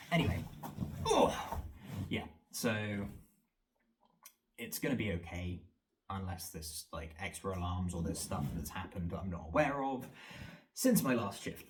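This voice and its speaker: A man with a very deep, low pitch speaks in a somewhat breathy voice. His long, frequent pauses carry audible room echo. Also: lively intonation. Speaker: vlogger and fitness trainer. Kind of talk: casual vlog monologue. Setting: home training room, self-filmed. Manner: fast; rambling with fillers.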